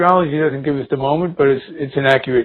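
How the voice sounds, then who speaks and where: This is a normal speaking voice from a man at a medium pitch. His intonation stays fairly even. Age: 60s. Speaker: spiritual healer and teacher. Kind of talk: interview.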